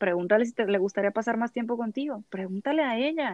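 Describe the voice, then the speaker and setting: In an unremarkable speaking voice, a woman talks at a fairly quick pace and fairly high pitch, with ordinary pitch variation. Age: 30s. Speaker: psychologist. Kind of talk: expert interview.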